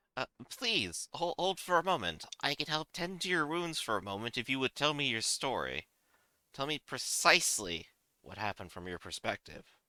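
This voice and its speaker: A put-on character voice moves at a moderate pace over a very clean recording with a silent background. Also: man, fairly high pitch for a man. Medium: actual play. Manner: formal, measured, commanding.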